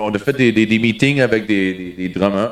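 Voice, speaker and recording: A man with an Ontario accent and a fairly low pitch. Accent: Franco-Ontarian accent, says he has one. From Ontario (francophone, Timmins area). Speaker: musician, member of the band. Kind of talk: casual chat. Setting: backstage dressing room. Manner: halting, repeats words.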